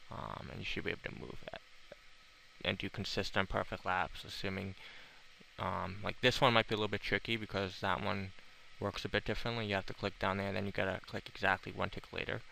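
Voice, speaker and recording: A fairly low-pitched man speaks at a very fast pace in a bright, sharp tone with vocal fry and fairly even intonation. The recording is very clean with a silent background. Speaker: video game player. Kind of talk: game tutorial commentary.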